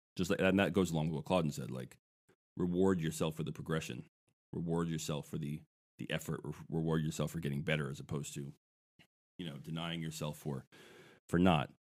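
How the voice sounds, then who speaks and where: A very deep, low male voice with vocal fry, a fairly quick pace, fairly even intonation and long, frequent pauses. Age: 40s. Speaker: musician. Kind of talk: casual chat.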